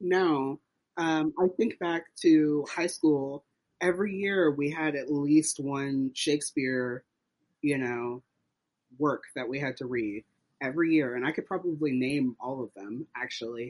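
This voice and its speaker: A man with an American accent speaks in an ordinary speaking voice at a fairly slow pace, his pitch fairly high with ordinary variation, the sound dry and close with no echo. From US South (Tennessee and Texas). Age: 30s. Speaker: playwright. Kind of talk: interview.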